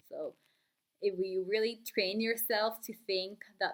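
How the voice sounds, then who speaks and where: A woman speaks at a medium pitch. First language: not English. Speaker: book vlogger. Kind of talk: casual vlog talk. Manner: hesitant, many fillers.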